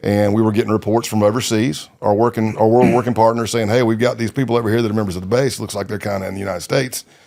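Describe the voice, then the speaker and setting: With an American accent, a man speaks at a very fast pace in a dark, mellow tone, with hardly any pauses. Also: fairly low pitch for a man. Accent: southern US redneck. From South Carolina. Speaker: retired undercover FBI agent. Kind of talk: interview storytelling. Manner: conversational, with frequent fillers.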